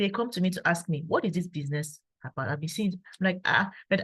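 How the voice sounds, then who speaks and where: A woman speaks with fairly low pitch and ordinary pitch variation. Her voice is somewhat breathy. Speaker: engineer and network marketer giving testimony. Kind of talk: testimony. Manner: calm, quiet.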